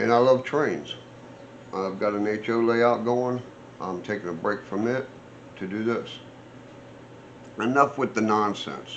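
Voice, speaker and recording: Pausing long and often, a man talks at a fairly slow pace with ordinary pitch variation, and audible room echo surrounds his voice. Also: medium pitch for a man. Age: 60s. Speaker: off-road vehicle builder and vlogger. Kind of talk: casual vlog talk. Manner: rambling, conversational with fillers.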